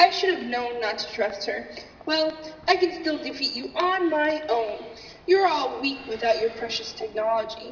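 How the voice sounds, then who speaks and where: A female-sounding voice puts on a character voice at a high pitch. There is a clear echo and clear background noise. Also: moderate pace. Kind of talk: comic overacting. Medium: stage play. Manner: gloating, theatrical.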